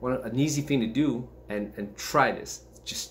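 A man talks with fairly even intonation. Light background noise sits behind his voice. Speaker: martial arts fitness vlogger. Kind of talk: casual vlog chat. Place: home room. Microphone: webcam.

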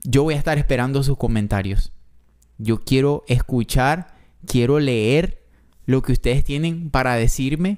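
Over a quiet background, a man speaks at a fairly slow pace with ordinary pitch variation. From not Mexico, foreign to Mexico. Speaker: reaction youtuber. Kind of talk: reaction video, casual commentary. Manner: emotional, moved, animated. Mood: moved, emotional. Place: home room. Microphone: studio mic.

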